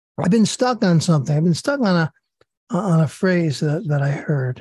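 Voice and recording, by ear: A woman's low, raspy, dark and mellow voice with a slightly husky edge, at a moderate pace, in a dry, close sound with no echo.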